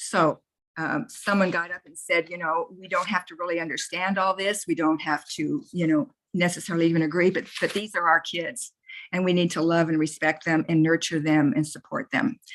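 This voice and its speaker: A woman with a fairly low pitch and ordinary pitch variation speaks with big swings in loudness. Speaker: youth club district coordinator. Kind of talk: online meeting. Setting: video call. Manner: fast.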